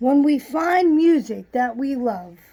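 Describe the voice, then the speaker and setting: A woman uses a put-on character voice with a high pitch at a fairly slow pace. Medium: read story.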